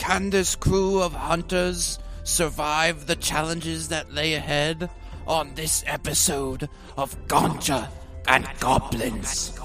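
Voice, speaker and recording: Clear music plays in the background as a man with a fairly high pitch speaks at a fairly slow pace. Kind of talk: epic fantasy trailer narration. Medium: actual play. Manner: dramatic, grandiose.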